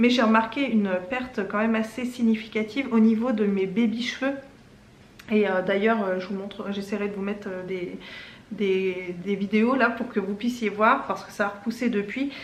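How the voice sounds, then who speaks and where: Against noticeable background noise and audible room echo, a woman with a fairly high voice talks at a moderate pace with fairly even intonation. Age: 40s. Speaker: lifestyle YouTuber. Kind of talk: casual vlog testimony and product tutorial. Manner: hesitant, many fillers.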